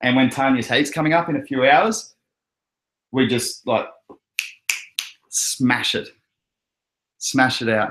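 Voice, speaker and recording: A man with an Australian accent speaks at a fairly slow pace. His intonation is lively, and he leaves long, frequent pauses. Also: medium pitch for a man. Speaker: crypto livestream host. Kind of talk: casual chat. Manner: animated.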